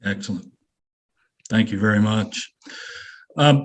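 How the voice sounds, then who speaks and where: In a plain, everyday voice, a man with an American accent talks at a moderate pace and medium pitch. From Kansas. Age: 60s. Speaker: webinar moderator. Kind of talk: panel discussion.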